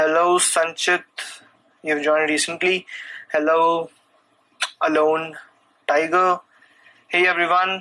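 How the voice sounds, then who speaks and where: A man with an Indian accent, high pitch, and a bright, sharp tone, monotone, flat intonation, very even loudness, a fairly slow pace and long, frequent pauses. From India, New Delhi. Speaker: programming content creator. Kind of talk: live stream Q&A chat. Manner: halting, many fillers.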